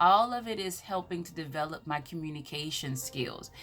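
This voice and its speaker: Bright, sharp and animated, a woman's fairly low voice in a Southern US accent, with lively intonation at a moderate pace. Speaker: motivational speaker. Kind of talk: motivational talk.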